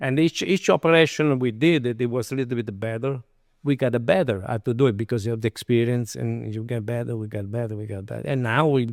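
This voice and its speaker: A man talks at a very fast pace in a medium pitch, with an Italian accent. The recording is very clean, with a silent background and a dry, close sound with no echo. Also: ordinary pitch variation. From Italy. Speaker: chef and restaurant owner. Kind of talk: interview. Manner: halting.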